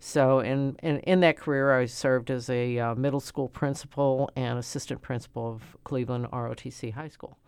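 With a St. Louis accent, a woman speaks at a moderate pace in a very deep, low pitch, her intonation fairly even while her loudness swings widely. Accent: St. Louis Midwestern American. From St. Louis, Missouri (South St. Louis). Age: 70s. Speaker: city alderwoman, retired school principal. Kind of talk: interview. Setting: studio. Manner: halting, many fillers and repetitions.

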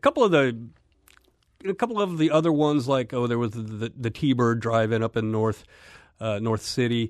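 Over a quiet background, a man talks at a medium pitch with ordinary pitch variation. His pace is fairly quick, broken by long, frequent pauses. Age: 50s. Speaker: film website editor. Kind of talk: radio interview. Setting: studio. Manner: hesitant, with fillers.

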